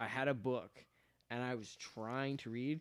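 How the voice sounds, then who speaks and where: A man speaks at a moderate pace and medium pitch, with ordinary pitch variation. He has a plain, everyday voice. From Birmingham, Alabama, US South (moved from Saudi Arabia at seven). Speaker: podcast guest. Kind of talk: casual chat. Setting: live stream.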